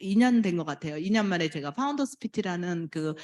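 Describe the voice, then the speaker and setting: Her pitch is fairly low for a woman, swinging very widely. The recording is very clean, with a silent background. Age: 60s. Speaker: network marketing distributor. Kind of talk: testimony speech.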